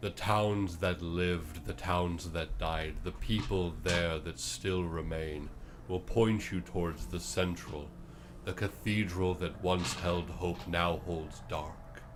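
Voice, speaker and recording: A man puts on a character voice with a very deep, low pitch. He goes at a fairly slow pace over loud background noise. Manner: solemn, prophetic.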